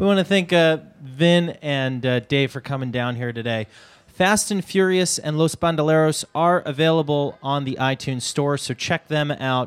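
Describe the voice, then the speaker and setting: Moderate in pace, a man uses an ordinary speaking voice with fairly high pitch and ordinary variation on a very clean recording with a silent background. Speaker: event announcer. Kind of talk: public announcement. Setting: stage with audience.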